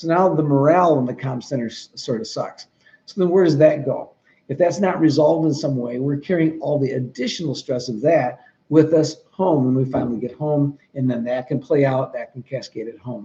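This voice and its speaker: A man with an American accent speaks fairly quickly, his fairly high voice somewhat breathy with a dark, mellow tone and ordinary pitch variation. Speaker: trainer for 911 dispatchers. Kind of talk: training talk. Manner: fast.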